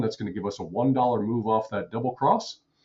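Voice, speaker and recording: A man speaks with a somewhat breathy voice. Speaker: day trader and trading educator. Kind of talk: live trading commentary. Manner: fast, auctioneer-like calling out of numbers; repetitive.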